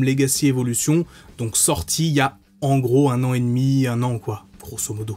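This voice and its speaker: The voice is a man's. He keeps a moderate pace. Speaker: toy reviewer. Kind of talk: product review commentary. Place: home room.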